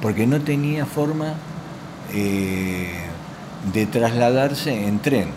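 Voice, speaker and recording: A man talks at a very slow pace, leaving long, frequent pauses. Audible room echo and noticeable background noise fill the recording. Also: medium pitch for a man, lively intonation. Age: 60s. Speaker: local historian. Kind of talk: interview.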